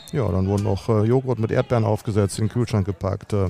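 Fairly even intonation marks a man's speech, heard through noticeable background noise. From Germany, Dortmund. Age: 50s. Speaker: football team manager. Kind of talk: interview.

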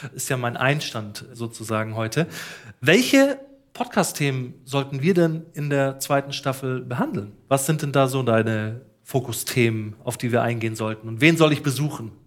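A man talks at a moderate pace at medium pitch. He has a normal speaking voice with ordinary pitch variation. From Ruhr area, Germany. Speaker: podcast host. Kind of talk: casual interview and on-location reportage.

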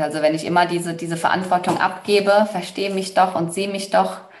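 A woman speaks in a plain, everyday voice. Her pitch sits in the middle range and rises and falls an ordinary amount. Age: 30s. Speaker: human design coach, former finance worker. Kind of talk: interview.

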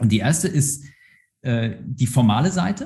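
Speaking at a moderate pace, a man with a medium pitch has a dark, mellow tone that is somewhat breathy. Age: 30s. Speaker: organisational psychologist, university staff. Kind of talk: interview. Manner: halting, many fillers.

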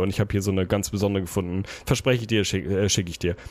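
The speaker is a man. His tone is animated. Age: 30s. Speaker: podcast co-host. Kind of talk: casual chat.

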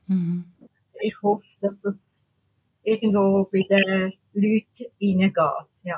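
At a very slow pace, a woman speaks at medium pitch, her sound dry and close with no echo. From Switzerland. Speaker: mouth painter, tetraplegic artist. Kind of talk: interview.

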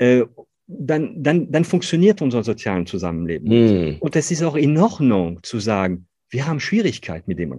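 A dark, mellow tone with a French accent, very wide pitch swings, and a moderate pace over a quiet background. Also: man. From northern France. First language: French (speaking German). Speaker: company founder and CEO. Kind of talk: interview conversation. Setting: video call. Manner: halting, many fillers.

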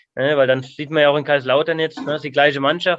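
Flat and monotone, a man with a fairly high voice talks at a fairly quick pace. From Palatinate, Germany (Otterbach). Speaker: former pro footballer, youth coach. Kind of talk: casual interview. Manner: halting.

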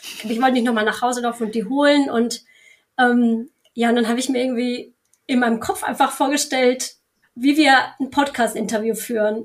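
A woman speaks at a moderate pace in a high voice, leaving long, frequent pauses. Her intonation stays fairly even. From Germany (Bielefeld). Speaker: Instagram content creator. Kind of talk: interview. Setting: video call.

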